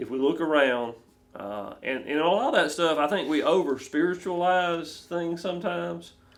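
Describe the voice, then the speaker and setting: A man with an ordinary speaking voice, fairly high in pitch, with ordinary pitch variation at a moderate pace. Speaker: ministry podcast host. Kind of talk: interview questions.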